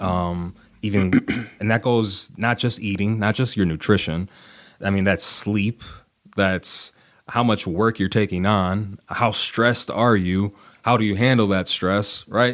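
A man speaks with an American accent at a fairly slow pace, his pitch fairly low and intonation fairly even. The recording is very clean, with a silent background. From US Midwest, Kenosha, Wisconsin. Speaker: strength coach. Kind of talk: casual interview. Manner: hesitant, many fillers.

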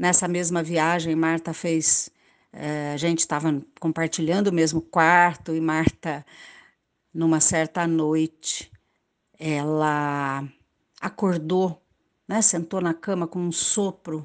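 Over a quiet background, a woman with a fairly low pitch speaks at a very slow pace in a monotone, flat intonation, leaving long, frequent pauses. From Brazil, Pantanal, Mato Grosso do Sul. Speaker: university professor. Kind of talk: interview, personal remembrance.

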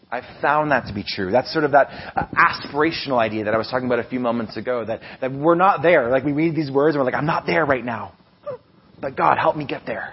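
Speech at a very fast pace comes through noticeable background noise. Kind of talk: sermon. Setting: church. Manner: informal, hesitant with filler words.

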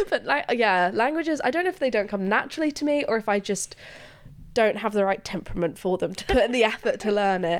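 Very fast and with very wide pitch swings, a woman speaks at a fairly high pitch in an English accent. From England. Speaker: student radio interviewer. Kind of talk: casual interview chat.

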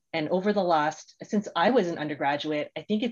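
A woman's normal speaking voice, fairly low-pitched, in a Canadian accent. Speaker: podcast host and agile coach. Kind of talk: interview.

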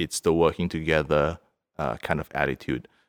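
A man with a very deep, low pitch and vocal fry speaks with fairly even intonation in a dry, close sound with no echo. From Singapore. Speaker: entrepreneur. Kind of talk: interview. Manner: halting, many fillers and repetitions.

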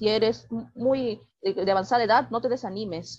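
A woman with an unremarkable speaking voice, fairly high in pitch with ordinary pitch variation. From Peru, Lima. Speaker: writer. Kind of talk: interview.

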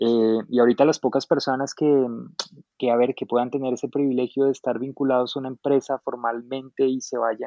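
At a moderate pace, a man speaks in a monotone, flat delivery at medium pitch. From Colombia, Boyacá. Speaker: illustrator. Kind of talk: casual chat.

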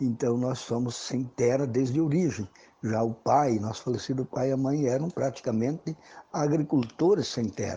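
This man has a medium pitch and a dark, mellow tone that is somewhat breathy. He talks at a moderate pace with ordinary pitch variation. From Brazil, western Santa Catarina (Xanxerê). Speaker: rural social movement leader. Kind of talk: radio interview. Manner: hesitant, repeats words.

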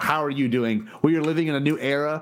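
The voice has an animated tone, ordinary pitch variation, and a fairly quick pace. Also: man. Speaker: podcast host. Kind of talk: casual chat.

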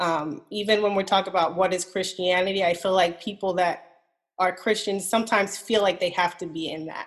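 Speaking fairly quickly in an unremarkable speaking voice, a woman keeps a medium pitch and fairly even intonation. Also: quiet background. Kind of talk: casual chat.

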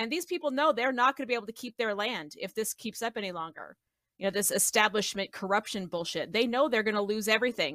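With an American accent, a woman talks very fast at a fairly high pitch in a bright, sharp, animated tone with lively intonation, captured dry and close with no echo on a very clean recording with a silent background. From Colorado. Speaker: political podcast panelist. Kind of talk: casual political discussion.

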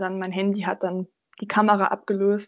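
A woman's medium-pitched voice at a moderate pace, in a monotone, flat intonation. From Germany, Göttingen. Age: young. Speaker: hobby photographer. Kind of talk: casual interview.

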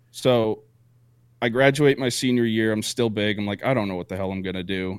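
A very clean recording with a silent background: a man, an ordinary speaking voice, fairly low pitch, ordinary pitch variation. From Vermont, US. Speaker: podcast co-host and Navy veteran. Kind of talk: casual chat.

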